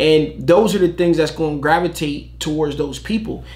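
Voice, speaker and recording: A man's animated voice at a fairly high pitch and moderate pace, with audible room echo. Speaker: t-shirt business youtuber. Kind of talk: reaction video commentary. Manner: loud.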